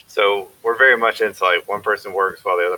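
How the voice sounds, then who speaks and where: A man talks at a fairly quick pace, and the sound is dry and close with no echo. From South Carolina. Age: 30s. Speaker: father of two, podcast co-host. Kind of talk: casual chat.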